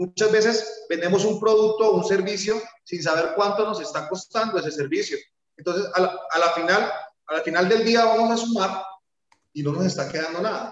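A man talks in a high pitch at a moderate pace. His pitch variation is ordinary. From Colombia, Bucaramanga. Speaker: car detailing business owner. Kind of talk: interview.

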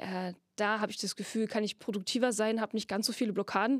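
A woman talks at a very fast pace in a medium pitch, her intonation flat and monotone. The recording is very clean and dry, close-miked with a silent background and no echo. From Saxony, Germany (Freiberg). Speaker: puppeteer and actress. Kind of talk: casual interview chat. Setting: studio in a theater basement.

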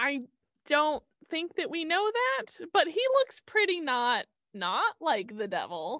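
Raised and projected, a woman's high, bright, sharp voice moves very slowly through very wide pitch swings, recorded dry and close with no echo. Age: 20s. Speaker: podcast co-host. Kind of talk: casual chat with researched storytelling.

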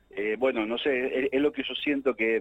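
With music in the background, a man speaks at a moderate pace and medium pitch. The sound is dry and close, with no echo. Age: 60s. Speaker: entertainment journalist and film critic. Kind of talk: casual interview. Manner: halting with many fillers and repetitions.

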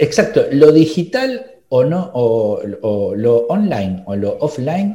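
His voice has a dark, mellow tone and is somewhat breathy. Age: 40s. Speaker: podcast host, marketing consultant. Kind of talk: casual interview chat.

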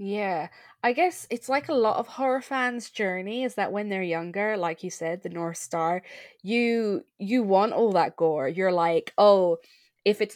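Against a quiet background, the speaker uses lively intonation in an Irish accent. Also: woman. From Ireland. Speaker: podcast host. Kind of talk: casual podcast chat.

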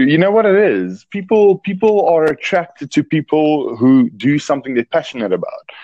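A man speaks with a South African accent at a moderate pace, with lively intonation and hardly any pauses. His loudness stays very even, and the sound is dry and close with no echo.

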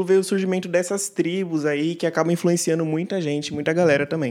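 A man talks fairly quickly in a high pitch, his intonation fairly even. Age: 20s. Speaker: church musician, music producer. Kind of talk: casual panel discussion.

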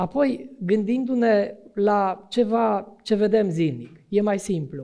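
High-pitched for a man, this man's voice has a dark, mellow tone and lively intonation. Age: 50s. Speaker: preacher. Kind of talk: sermon.

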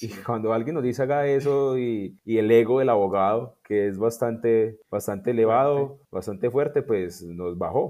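A man talks at a moderate pace in a normal speaking voice, his pitch medium with ordinary variation. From Colombia, Tolima. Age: young. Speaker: sports lawyer and government official. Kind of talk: interview.

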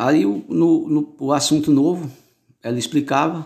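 A very clean recording with a silent background captures a man talking. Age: 40s. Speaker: former bricklayer's helper. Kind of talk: interview answers. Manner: halting, many repetitions.

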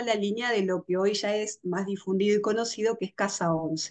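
Against a quiet background, a woman with a Rioplatense accent talks at a moderate pace. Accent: Argentine Rioplatense Spanish. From Argentina. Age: 40s. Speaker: astrologer and tarot reader. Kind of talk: interview. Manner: halting.

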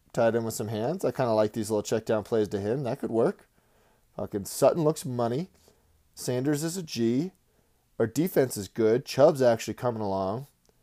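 Medium pitch for a man, dark and mellow in tone, with ordinary pitch variation at a moderate pace, in a dry, close sound with no echo and a very clean recording against a silent background. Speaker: solo podcast host. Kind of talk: casual, heavy profanity. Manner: slurs his words.

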